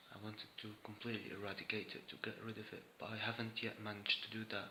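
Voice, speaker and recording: Soft-spoken and very fast, the voice holds a monotone, flat intonation against noticeable background noise. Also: man, fairly low pitch for a man. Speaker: vlogger sharing personal experience. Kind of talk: personal monologue vlog. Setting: indoors, room at home with camera. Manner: soft-spoken, voice kept low.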